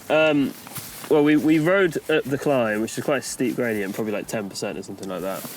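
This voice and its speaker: Noticeable background noise accompanies fairly quick talking with lively intonation. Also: man, medium pitch for a man. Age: young. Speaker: mountain bike rider. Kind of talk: casual chat. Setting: outdoors.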